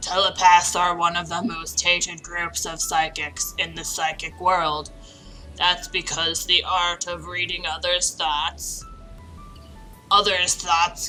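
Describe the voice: Over clear music in the background, a woman uses a put-on character voice, strained and fairly low, at a fairly slow pace.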